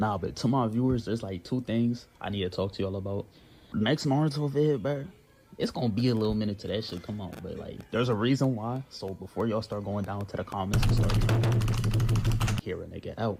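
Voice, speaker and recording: Music plays in the background as a man speaks at a fairly quick pace. His pitch sits in the medium range with ordinary variation. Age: 20s. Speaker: anime reaction youtuber. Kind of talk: casual vlog talk to viewers. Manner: animated.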